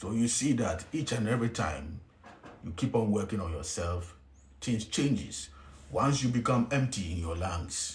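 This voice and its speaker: A man speaks at a fairly slow pace with a Ghanaian accent, his fairly low voice somewhat breathy. His intonation is lively, and the room echo is audible. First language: Twi. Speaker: spiritual teacher. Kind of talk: spiritual teaching talk. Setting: hotel room. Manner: whispering.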